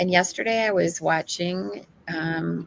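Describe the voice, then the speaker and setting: Noticeable background noise can be heard. Over it, a woman talks in a fairly low voice. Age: 60s. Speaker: AI podcast co-host. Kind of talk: casual podcast chat. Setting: on location at an expo, remote stream. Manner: frequent um fillers.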